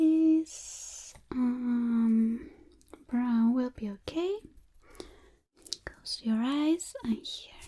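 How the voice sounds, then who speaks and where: Soft-spoken and high-pitched, a woman talks at a very slow pace with ordinary pitch variation. Long, frequent pauses break up her speech. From Chile. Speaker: ASMR artist. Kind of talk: ASMR makeup roleplay.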